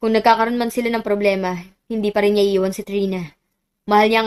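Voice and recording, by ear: Reading aloud in a natural voice, the speaker keeps a fairly even intonation against a quiet background.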